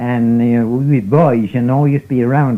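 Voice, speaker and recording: In a Newfoundland accent, a man talks with a dark, mellow tone. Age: 80s+. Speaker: fisherman. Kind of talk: interview answer.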